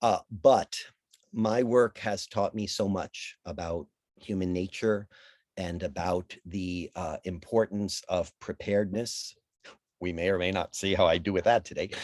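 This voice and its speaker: Using a plain, everyday voice, a man speaks at a fairly slow pace. His pitch is fairly low and his intonation fairly even. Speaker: casting director leading a mindfulness talk. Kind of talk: guided talk. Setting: video call.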